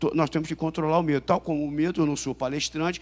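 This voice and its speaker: A man's voice at a fairly high pitch. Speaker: police chief and intelligence official. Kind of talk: conference talk. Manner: fast; halting with many fillers and repetitions.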